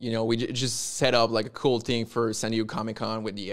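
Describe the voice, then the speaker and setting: Monotone and flat, a man with a French Canadian accent speaks fairly quickly at a medium pitch. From Quebec. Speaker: comic book publisher. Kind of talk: casual interview.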